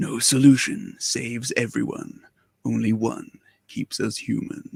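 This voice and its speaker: A man performs a put-on character voice in a dramatic, solemn tone. He speaks at a fairly slow pace. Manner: dramatic, gravelly, solemn trailer delivery.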